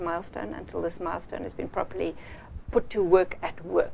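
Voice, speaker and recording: A woman talks very fast over noticeable background noise. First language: not English. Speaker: project management trainer. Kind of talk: business presentation to a client. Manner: halting, with many fillers.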